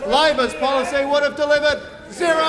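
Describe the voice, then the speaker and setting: Noticeable background noise under fairly quick talking. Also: man. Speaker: government minister answering in parliament. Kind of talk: parliamentary speech.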